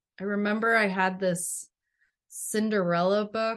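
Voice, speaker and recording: A woman talks at a fairly slow pace. The background stays quiet. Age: 40s. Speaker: children's book author-illustrator. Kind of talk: interview. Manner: hesitant, many fillers.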